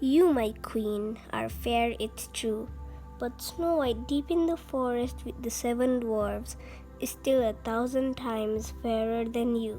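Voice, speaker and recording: Over clear background music, a woman speaks at a fairly slow pace in a put-on character voice. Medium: read story.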